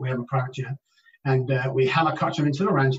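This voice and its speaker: A man with an English accent talks at a very fast pace. His voice is fairly high and somewhat breathy. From England. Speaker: addiction treatment specialist. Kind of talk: interview.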